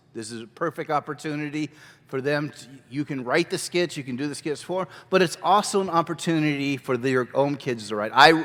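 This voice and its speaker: A man with a fairly high pitch and ordinary pitch variation shows big swings in loudness in a very clean recording with a silent background. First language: not English. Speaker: children's ministry teacher. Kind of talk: workshop lecture. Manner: casual.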